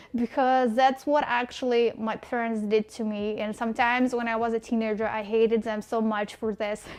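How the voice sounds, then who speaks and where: Hardly pausing at all, a woman with a Russian accent speaks at a moderate pace in a fairly high, monotone, flat voice. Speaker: vlogger. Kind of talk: casual vlog monologue. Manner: hesitant, with fillers.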